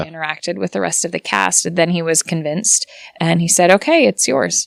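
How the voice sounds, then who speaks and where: A woman speaks with a fairly low pitch, lively intonation and vocal fry. The sound is dry and close, with no echo. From United States. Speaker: voice actor. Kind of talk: interview answer.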